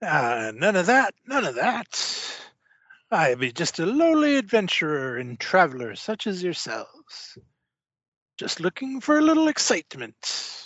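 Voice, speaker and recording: Putting on a character voice, a man speaks fairly slowly in a high pitch with very wide pitch swings. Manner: jovial, boisterous, evasive.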